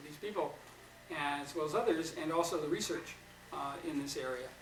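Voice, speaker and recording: There's audible room echo and noticeable background noise as a man with a slight New York accent speaks with ordinary pitch variation. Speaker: psychotherapy trainer. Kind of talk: lecture.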